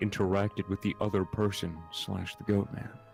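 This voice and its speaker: Music plays in the background while the speaker goes at a moderate pace. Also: man. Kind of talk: reading a creepypasta story aloud, casual with cursing.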